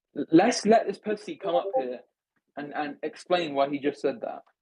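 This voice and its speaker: The speaker has an English accent. Pitch varies in an ordinary way. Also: man. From England. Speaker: discord space host. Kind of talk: heated debate. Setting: online voice chat. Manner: animated.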